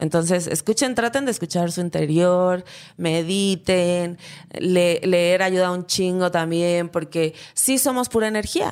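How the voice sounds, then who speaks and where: A woman with a fairly low pitch and ordinary pitch variation speaks at a fairly slow pace in a very clean recording with a silent background. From Acapulco, Guerrero, Mexico. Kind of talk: casual chat. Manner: animated, joking.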